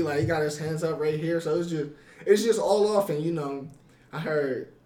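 A dark, mellow tone carries through audible room echo. Delivery is at a moderate pace with fairly even intonation. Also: man. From Ohio, US. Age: 20s. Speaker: boxer. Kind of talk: casual interview. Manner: halting, many repetitions.

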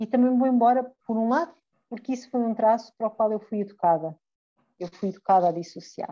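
A fairly high-pitched woman's voice with a dark, mellow tone, ordinary pitch variation and a fairly quick pace. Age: 40s. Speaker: podcast co-host. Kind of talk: casual chat.

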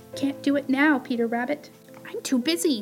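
A woman mumbles in a put-on character voice, pitched high, at a moderate pace. Clear music plays in the background. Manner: mumbling with a mouth full of grass.

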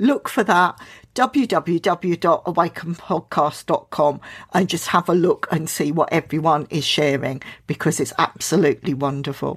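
A woman speaks at a fairly slow pace in an unremarkable speaking voice, fairly low in pitch with lively intonation, recorded dry and close with no echo against a silent background on a very clean recording. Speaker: podcast host. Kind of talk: casual interview.

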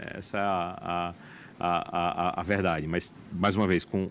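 A man with a very deep, low-pitched voice. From Paraíba, Brazilian Northeast (João Pessoa). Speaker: oncologist and hospital director. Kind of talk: interview. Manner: halting, frequent repetitions.

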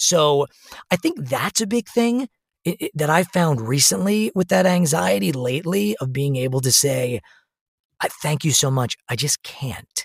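A somewhat breathy man at a fairly high pitch, fairly slow, with very wide pitch swings and a dry, close sound with no echo. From US Northeast, Long Island New York. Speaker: actor and musician. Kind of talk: casual interview. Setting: remote recording.

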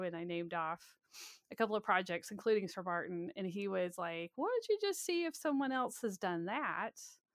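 A woman with an American accent speaks at a fairly quick pace in a plain, everyday voice of medium pitch, with a quiet background. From US South, Alabama. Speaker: author and historian. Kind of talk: interview.

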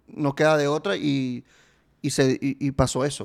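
This is a man's voice. Its pitch is fairly high for a man. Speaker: podcast host. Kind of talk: casual chat.

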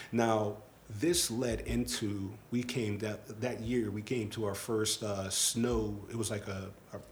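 With audible room echo, a man speaks at a very slow pace in a fairly low pitch, his intonation fairly even. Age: 30s. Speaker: podcast host. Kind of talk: casual chat.

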